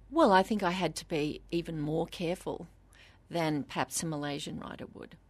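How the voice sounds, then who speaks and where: A woman's fairly low voice in an Australian accent, with big swings in loudness, ordinary pitch variation and a quiet background. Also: moderate pace. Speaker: novelist. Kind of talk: interview.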